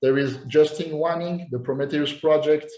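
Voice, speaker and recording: With a French accent, a man delivers his words at a moderate pace in a fairly high pitch and a flat, monotone intonation. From France. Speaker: posing coach. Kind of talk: interview. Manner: halting, repeats words.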